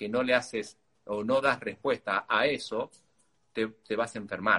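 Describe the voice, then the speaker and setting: Medium-pitched male voice, bright and sharp in tone, with ordinary pitch variation and a dry, close sound with no echo. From Argentina, Tucumán. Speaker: nutritionist and athlete. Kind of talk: interview. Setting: video call via Instagram live.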